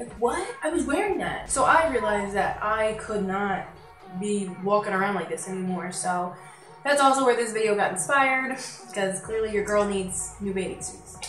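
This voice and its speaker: Music plays in the background while a woman with medium pitch speaks at a moderate pace. Her intonation is lively, and there is audible room echo. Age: 20s. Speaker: beauty and fashion vlogger. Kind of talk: casual vlog haul. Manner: animated.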